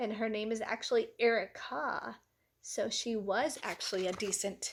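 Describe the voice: Fairly even intonation in plain reading aloud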